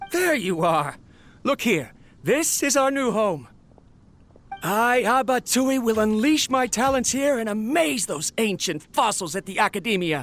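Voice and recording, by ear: A man puts on a character voice with a high pitch and a fairly bright tone. He talks at a fairly slow pace with lively intonation over faint music in the background.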